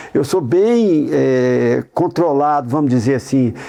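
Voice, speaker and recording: A man's fairly slow speech with lively intonation, over noticeable background noise. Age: 60s. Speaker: humanitarian worker and academy member. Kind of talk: interview.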